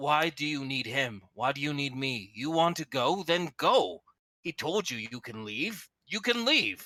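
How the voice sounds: Using a put-on character voice, a man pitches his speech fairly high. He keeps a moderate pace.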